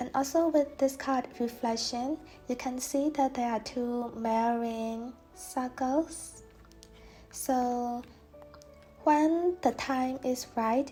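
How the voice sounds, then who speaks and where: Over music in the background, a woman with a non-native accent speaks at a high pitch and a very slow pace, with fairly even intonation and long, frequent pauses. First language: not English. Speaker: tarot reader. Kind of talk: tarot reading talk to camera.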